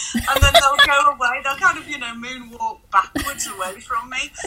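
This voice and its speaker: A woman speaks in a raised, projected voice with very wide pitch swings over noticeable background noise. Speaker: sex shop founder. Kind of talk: interview answers.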